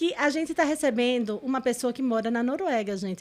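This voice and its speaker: Her intonation is lively and her pitch is high. The woman talks at a moderate pace with a northeastern Brazilian accent. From Brazilian Northeast. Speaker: podcast host and corporate consultant. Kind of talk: podcast interview.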